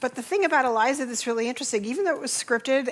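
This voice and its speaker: A woman talks with ordinary pitch variation. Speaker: keynote speaker, tech executive. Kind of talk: conference keynote talk. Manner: fast.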